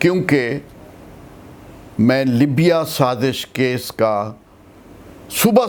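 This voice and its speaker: A man is speaking. His pitch is fairly high. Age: 70s. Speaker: veteran political activist, advocate. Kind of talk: interview answer. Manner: encouraging tone.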